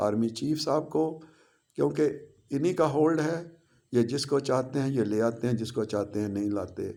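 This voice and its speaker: Ordinary pitch variation runs through a voice of dark, mellow tone. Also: man, medium pitch for a man. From Pakistan. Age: 70s. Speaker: political commentator. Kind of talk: political monologue. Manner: impassioned.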